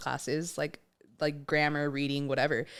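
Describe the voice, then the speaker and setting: A woman speaks on a very clean recording. The background is silent. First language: Spanish. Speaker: podcast co-host. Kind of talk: casual chat.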